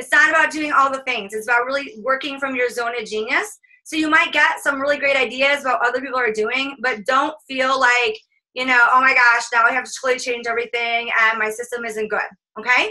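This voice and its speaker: A raised, projected voice with a bright, sharp tone, ordinary pitch variation and a fairly quick pace. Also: woman, high pitch for a woman. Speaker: business coach. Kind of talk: live webinar coaching session. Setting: group call. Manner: fast; animated.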